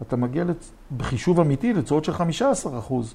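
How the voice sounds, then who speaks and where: Here is a man with an ordinary speaking voice. His pitch varies in an ordinary way. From Israel, Jerusalem. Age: 60s. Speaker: real estate developer and lecturer. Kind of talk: interview.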